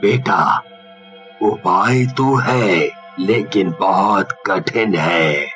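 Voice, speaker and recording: A cartoonish character voice from a man, fairly low-pitched and very slow, over clear music in the background. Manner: calm, paternal, chuckling.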